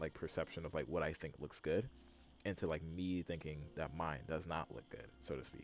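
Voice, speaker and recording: Vocal fry runs through speech delivered at a fairly quick pace. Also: man. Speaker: vlogger. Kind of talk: casual monologue to camera. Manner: halting; rambling with many fillers.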